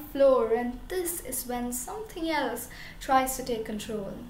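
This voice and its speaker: A woman's dramatic tone in an Indian accent at a fairly slow pace, with audible room echo and light background noise. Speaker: student poet. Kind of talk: performed spoken-word poem, rhymed and rhythmic. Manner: expressive, dramatic, emotional delivery building to defiant, forceful ending. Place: home room. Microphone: camera far.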